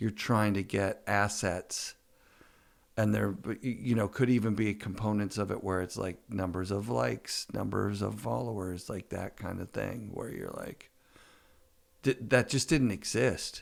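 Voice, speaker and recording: A man speaks with a fairly low pitch and ordinary pitch variation. Vocal fry runs through his voice. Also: fairly slow pace. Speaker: podcast host. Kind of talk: podcast interview, casual conversation.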